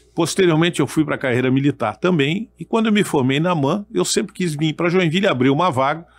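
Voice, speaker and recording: A man's fairly high voice at a fairly quick pace, with hardly any pauses, very even loudness and ordinary pitch variation. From Brazil, military family moving around. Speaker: retired army colonel and federal deputy. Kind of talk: podcast interview. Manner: halting, repeats words.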